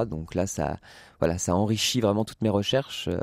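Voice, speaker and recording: A man's fairly low-pitched voice, dry and close with no echo, on a very clean recording with a silent background. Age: 20s. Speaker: playwright and actor. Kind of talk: radio interview. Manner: halting, many hesitations.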